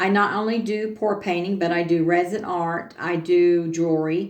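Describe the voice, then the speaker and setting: Her voice sits fairly low for a woman. She talks at a moderate pace with ordinary pitch variation. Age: 60s. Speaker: craft tutorial youtuber. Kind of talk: casual tutorial livestream. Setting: home studio. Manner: halting, many fillers.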